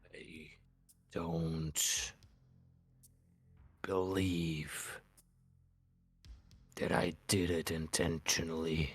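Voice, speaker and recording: A man does a put-on character voice with a very deep, low pitch. He speaks at a very slow pace in a monotone, flat intonation, with long, frequent pauses. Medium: actual play. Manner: halting, earnest, slightly formal.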